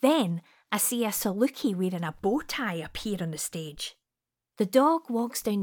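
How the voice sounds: A natural reading voice with lively intonation comes through over a quiet background.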